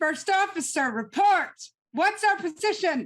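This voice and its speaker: A woman puts on a character voice with an extremely high pitch. She talks at a moderate pace. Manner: commanding.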